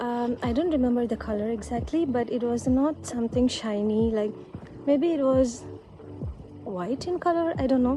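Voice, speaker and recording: A woman's high voice with a Sri Lankan Tamil accent at a moderate pace, with ordinary pitch variation and music in the background. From Sri Lanka, Tamil background. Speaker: vlogger. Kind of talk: casual vlog monologue. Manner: halting, with fillers and repetitions.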